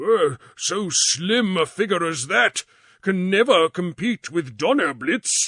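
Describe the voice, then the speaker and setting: A man puts on a character voice, high-pitched and solemn in tone, with very wide pitch swings. He speaks at a fairly slow pace, and the sound is dry and close with no echo. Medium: read story. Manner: solemn, old-fashioned speech.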